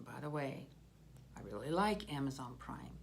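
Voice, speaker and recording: A woman's very deep, low voice with vocal fry, at a moderate pace, in audible room echo. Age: 60s. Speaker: political video blogger. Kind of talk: personal commentary monologue.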